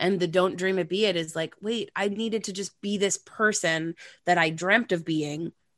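A woman speaks at a medium pitch and a moderate pace, her tone animated. The sound is dry and close with no echo, over a quiet background. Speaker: actress and cabaret singer. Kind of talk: casual chat.

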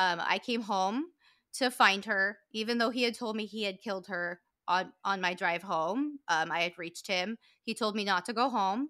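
A woman with an American accent speaks at a moderate pace in a bright, sharp tone. The recording is very clean, with a silent background. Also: medium pitch for a woman, ordinary pitch variation. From US West Coast, southern California. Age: 30s. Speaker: author, podcaster and victim advocate. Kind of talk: personal testimony in interview.

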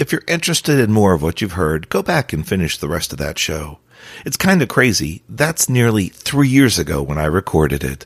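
A man with an American accent and vocal fry, very wide pitch swings and a moderate pace, in a very clean recording with a silent background. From New Jersey. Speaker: career coach and podcast host. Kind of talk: podcast monologue.

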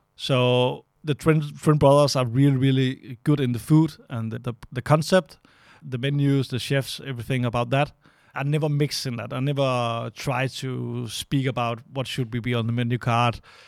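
At a moderate pace and with fairly even intonation, the speaker talks with a Danish accent on a very clean recording with a silent background. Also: man, medium pitch for a man. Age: 30s. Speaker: restaurant owner and manager. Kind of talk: casual interview conversation. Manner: halting, searching for words.

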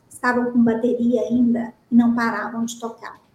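This woman talks with a high pitch. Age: 30s. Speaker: company director and author. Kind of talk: podcast interview.

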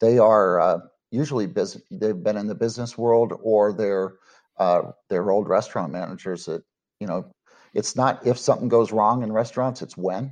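Against a quiet background, a man with an American accent speaks in an ordinary speaking voice at a fairly low pitch, with ordinary pitch variation and a moderate pace. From Texas, Dallas-Fort Worth. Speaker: cook-off association founder. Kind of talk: interview.

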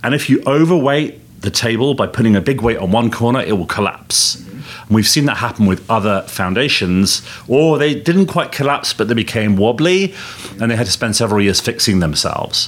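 A man at a medium pitch and moderate pace, lively intonation and very even loudness, with noticeable background noise. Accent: English. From England. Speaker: tech company executive. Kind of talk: interview. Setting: conference venue.

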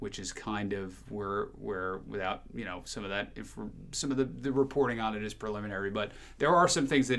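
A man's fairly low-pitched voice with vocal fry, lively intonation and an American accent, at a fairly quick pace. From New Jersey, near the Jersey Shore. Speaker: TV morning show host. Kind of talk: casual interview chat. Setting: studio.

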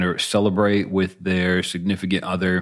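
Very deep, low-pitched man's voice at a fairly slow pace. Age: 30s. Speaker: beer podcast co-host. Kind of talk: casual chat.

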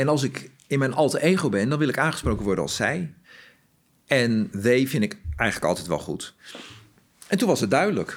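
This man talks at a moderate pace and medium pitch, with vocal fry, very wide pitch swings, and long, frequent pauses. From Groningen, northern Netherlands. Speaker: corporate talent and diversity lead. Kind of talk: interview.

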